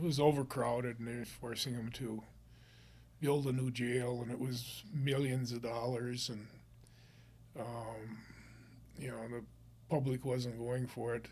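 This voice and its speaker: Speaking in an Upper Midwest accent, a man with a medium-pitched, somewhat breathy voice talks at a fairly slow pace in a flat monotone, with long, frequent pauses and audible room echo. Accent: Upper Midwest American. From northern Minnesota. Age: 70s. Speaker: real estate investor and business owner. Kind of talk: casual interview.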